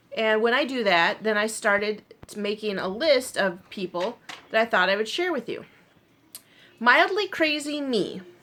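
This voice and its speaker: Over noticeable background noise, a woman with a fairly high pitch and lively intonation speaks with long, frequent pauses. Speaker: knitting and crochet vlogger. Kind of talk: casual chat. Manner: fast.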